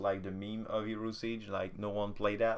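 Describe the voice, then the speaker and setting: A man talks with a French accent. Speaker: gaming content creator. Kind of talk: casual patch notes commentary. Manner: hesitant, many filler sounds; casual.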